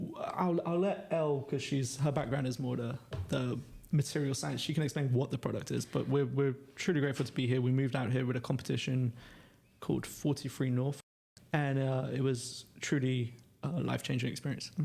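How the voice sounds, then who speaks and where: A somewhat breathy man at medium pitch with a London accent, dark, mellow tone, ordinary pitch variation and a fairly quick pace. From London, England. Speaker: startup co-founder. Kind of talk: podcast interview.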